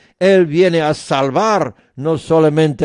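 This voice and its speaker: This man talks very slowly, his pitch fairly high. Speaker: radio preacher. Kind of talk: sermon. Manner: earnest, persuasive preaching.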